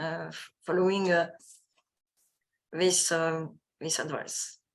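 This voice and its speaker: Against a quiet background, a woman with a Parisian accent speaks very slowly. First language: French. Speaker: sports scientist. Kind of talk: lecture. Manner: halting.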